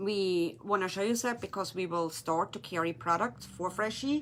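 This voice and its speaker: A woman with a German accent talks at a fairly slow pace and medium pitch. Her intonation is lively, and the recording is very clean with a silent background. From Germany. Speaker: resin artist and craft shop owner. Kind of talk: tutorial. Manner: casual, slightly halting.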